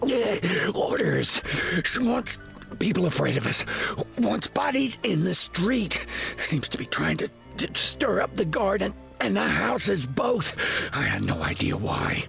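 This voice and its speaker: Clear music plays behind a put-on character voice delivered at a fairly slow pace. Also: man. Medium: audio drama. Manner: gruff, grudging.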